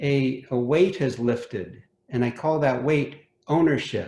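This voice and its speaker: Very slowly and somewhat breathily, a man with an American accent speaks at a fairly high pitch with ordinary pitch variation. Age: 60s. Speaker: homeowner. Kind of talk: casual chat. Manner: halting.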